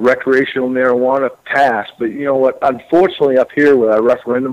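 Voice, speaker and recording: A man speaks with a Maine accent at a medium pitch. His pace is fairly quick. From rural Maine. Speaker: state legislator. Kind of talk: radio interview. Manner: halting.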